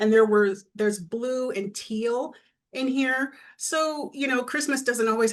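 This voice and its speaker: A woman with a normal speaking voice talks at a fairly slow pace, using a fairly high pitch with ordinary pitch variation. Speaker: quilter and pattern designer. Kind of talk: casual presentation on a panel.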